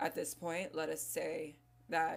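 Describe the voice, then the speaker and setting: A woman talks with vocal fry in a very deep, low pitch. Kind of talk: essay reading.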